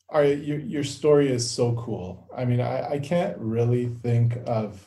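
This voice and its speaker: A man with a Canadian accent, medium pitch, a dark, mellow tone and a somewhat breathy quality, at a fairly slow pace. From Canada, Toronto area (Newmarket). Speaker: podcast host, doctor. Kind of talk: interview conversation.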